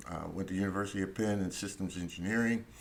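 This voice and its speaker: A man's fairly low voice in a monotone, flat intonation, with an American accent. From US, Philadelphia. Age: 70s. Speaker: Vietnam War veteran and lawyer. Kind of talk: interview. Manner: halting, many fillers.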